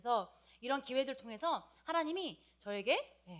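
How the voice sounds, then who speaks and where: Lively intonation marks a woman's speech, which has a slight non-native accent. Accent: slight non-native Korean pronunciation. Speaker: preacher. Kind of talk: sermon. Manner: hesitant, many fillers.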